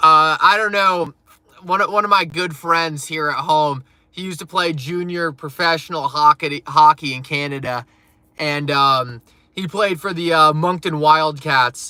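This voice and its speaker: A man with a northeastern US accent speaks at a fairly slow pace and a fairly high pitch, in a bright, sharp tone. His intonation is fairly even, though his loudness swings widely. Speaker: crypto live streamer. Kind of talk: live stream chat. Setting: live stream. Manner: casual, filler-heavy.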